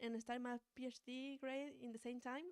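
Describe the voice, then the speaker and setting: A woman speaks with a Spanish accent. Her pitch is fairly high and her pace moderate. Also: dry, close sound with no echo. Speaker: doctoral student. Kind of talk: seminar talk. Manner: halting.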